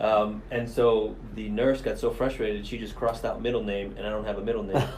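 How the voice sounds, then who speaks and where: Here a man talks at a fairly quick pace with an American accent. Noticeable background noise is present. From Miami, Florida. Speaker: police commander. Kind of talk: podcast interview.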